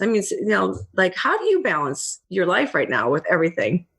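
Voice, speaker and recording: A woman speaks at a fairly quick pace with vocal fry. Her pitch swings very widely. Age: 60s. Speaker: podcast host. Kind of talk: interview. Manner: animated.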